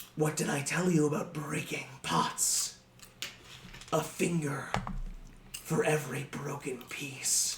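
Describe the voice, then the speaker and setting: A man's put-on character voice, fairly high in pitch and fairly slow, with long, frequent pauses over clear background noise. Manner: threatening.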